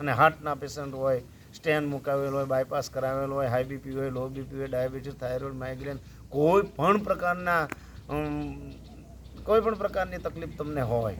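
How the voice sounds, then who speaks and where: Pitched fairly high, a man speaks in an unremarkable speaking voice with ordinary pitch variation. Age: 50s. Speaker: yoga teacher and schoolteacher. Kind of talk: health tutorial video.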